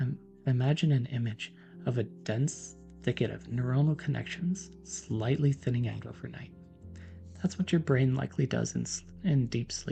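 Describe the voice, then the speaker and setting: A man's soft-spoken whispering in a calm tone, with music in the background. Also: moderate pace. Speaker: PhD neuroscientist, science educator. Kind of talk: educational lecture, soft-spoken ASMR-style science explanation. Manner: soft-spoken, whispered, calm.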